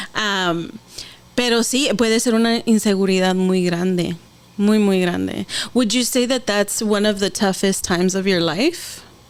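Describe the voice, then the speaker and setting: At a fairly slow pace, a woman speaks at a medium pitch with ordinary pitch variation and very even loudness. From San Diego, California. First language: Spanish. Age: 30s. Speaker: podcast host. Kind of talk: podcast interview.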